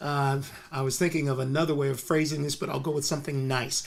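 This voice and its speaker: A man with an American accent speaks at a fairly quick pace. His pitch is fairly high. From US West Coast, Compton, California. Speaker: musician and esoteric philosopher. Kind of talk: casual interview chat. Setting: studio. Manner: halting, with many fillers.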